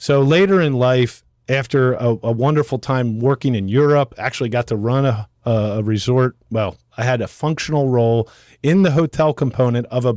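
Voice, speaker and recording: In a very clean recording with a silent background and a dry, close sound with no echo, a man uses an ordinary speaking voice at medium pitch with ordinary pitch variation. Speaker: resort developer and entrepreneur. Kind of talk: podcast interview.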